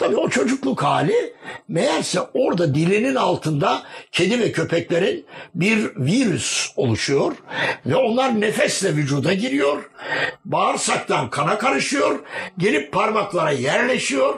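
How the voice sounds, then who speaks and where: Speech comes at a fairly slow pace with very wide pitch swings and very even loudness. Background noise is noticeable. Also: man, high pitch for a man. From Gaziantep, southeastern Turkey. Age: 70s. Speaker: journalist and publisher. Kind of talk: oral history interview. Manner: formal.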